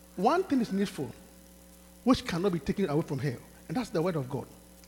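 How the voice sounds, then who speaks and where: Noticeable noise sits behind the voice. The speaker is a man. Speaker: pastor. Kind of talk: sermon. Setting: church. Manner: animated; repetitive, call-and-response preaching.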